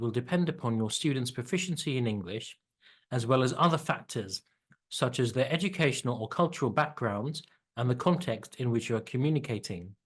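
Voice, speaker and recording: Somewhat breathy and lively in intonation, the voice moves at a fairly quick pace against a quiet background. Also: man. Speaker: EAL teacher. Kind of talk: tutorial. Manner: clearly enunciated.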